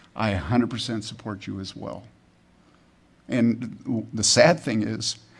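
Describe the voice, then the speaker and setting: A man's vocal fry at a fairly slow pace, with long, frequent pauses and big swings in loudness. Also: medium pitch for a man, ordinary pitch variation. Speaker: pastor. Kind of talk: sermon. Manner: halting, repeats words.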